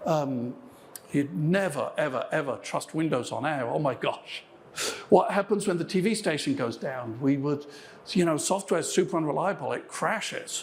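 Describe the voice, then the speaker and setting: With an English accent, a man of fairly high pitch speaks at a moderate pace with lively intonation and audible room echo. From England. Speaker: software engineer. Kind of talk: conference keynote. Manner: frequent fillers and false starts.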